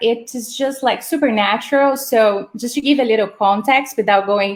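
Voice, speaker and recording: Speaking at a fairly slow pace in a Portuguese accent, a woman has a fairly high pitch and ordinary pitch variation. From Brazil. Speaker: startup housing operations manager. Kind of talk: live-streamed interview. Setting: live video stream. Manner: hesitant, many fillers.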